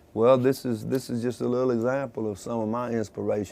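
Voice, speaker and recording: A man speaks fairly quickly. His voice is medium-pitched. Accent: Mississippi. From US South, Mississippi (Tupelo). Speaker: musician. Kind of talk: interview.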